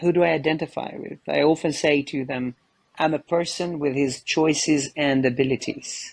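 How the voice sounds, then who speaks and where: A man talks with an Albanian accent at a fairly high pitch. His intonation stays fairly even. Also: moderate pace. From Kosovo. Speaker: photojournalist. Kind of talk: interview conversation.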